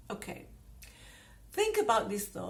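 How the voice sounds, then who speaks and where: Somewhat breathy, a woman speaks with a non-native accent. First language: not English. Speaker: personal growth YouTuber. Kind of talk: casual talk to camera.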